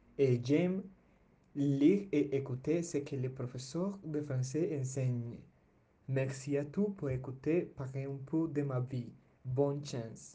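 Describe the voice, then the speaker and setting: This man's voice is fairly high in pitch yet dark and mellow in tone, somewhat breathy, with ordinary pitch variation and a very slow pace. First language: Spanish (speaking French). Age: young (19). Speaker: language student. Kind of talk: prepared personal presentation. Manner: halting.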